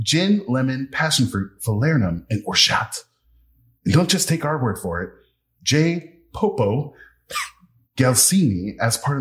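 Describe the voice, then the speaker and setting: A man with a medium-pitched voice and very wide pitch swings. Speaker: podcast host and actor. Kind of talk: casual chat. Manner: loud.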